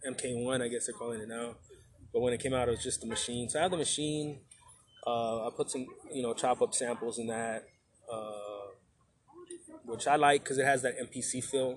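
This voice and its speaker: Using an unremarkable speaking voice, a man with an American accent talks at a moderate pace in a medium pitch with ordinary pitch variation. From Texas. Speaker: emcee and educator. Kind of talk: casual chat. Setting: outdoors at a bar.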